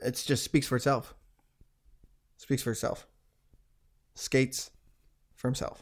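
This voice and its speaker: With long, frequent pauses, a man speaks at a fairly slow pace in a medium pitch and monotone, flat intonation. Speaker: podcast host. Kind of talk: comedy ad parody. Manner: mock car-dealer pitch, cheery and goofy.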